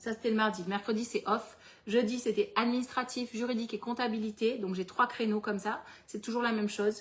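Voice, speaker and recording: Here a woman speaks at a fairly high pitch and a moderate pace. Her voice is somewhat breathy, with fairly even intonation. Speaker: entrepreneur running a planner business and workshop host. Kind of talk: live webinar workshop with Q&A. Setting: livestream with chat.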